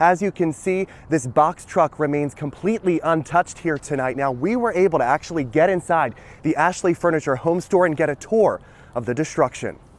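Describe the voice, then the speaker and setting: In an ordinary speaking voice, a man talks at a fairly quick pace with ordinary pitch variation, the sound dry and close with no echo. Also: fairly high pitch for a man. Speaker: TV news reporter. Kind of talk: live TV news report, on-location reporting.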